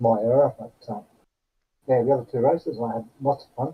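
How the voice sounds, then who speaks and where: With an Australian accent, a man of medium pitch speaks at a moderate pace, somewhat breathy and with fairly even intonation. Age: 60s. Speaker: sim racing driver. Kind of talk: post-race interview.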